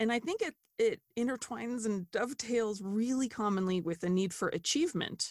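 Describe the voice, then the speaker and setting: A normal speaking voice with an American accent, lively intonation, very even loudness and a fairly quick pace, the sound dry and close with no echo. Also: woman, fairly high pitch for a woman. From United States. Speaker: dietitian. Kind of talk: interview conversation.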